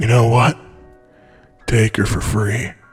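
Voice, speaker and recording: A man's raspy, put-on character voice at a medium pitch, with faint music in the background. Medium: read story.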